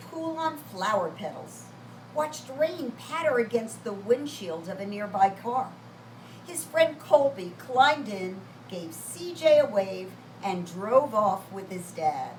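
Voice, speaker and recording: This woman talks at a very slow pace, her fairly high pitch swinging very widely. Noticeable background noise runs underneath. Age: 70s. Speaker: children's storyteller. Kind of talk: reading aloud to children; casual chat to children.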